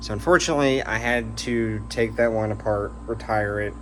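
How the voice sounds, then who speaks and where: A man's voice with audible room echo. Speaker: hobbyist rocket builder. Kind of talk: casual video update. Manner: hesitant with many fillers.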